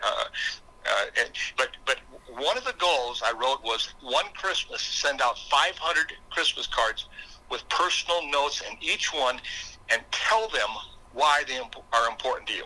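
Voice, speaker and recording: A man talks at a fairly slow pace in an Upper Midwest US accent. Noticeable background noise runs behind him. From South Dakota. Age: 60s. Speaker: motivational speaker and former state legislator. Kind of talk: interview conversation. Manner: halting, repeats words.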